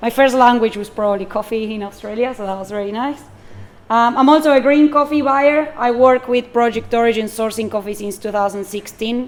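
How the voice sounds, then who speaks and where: A woman speaks quite quickly with a Spanish accent. Her fairly high pitch shows ordinary pitch variation. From Argentina. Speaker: barista and coffee buyer. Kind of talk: public talk.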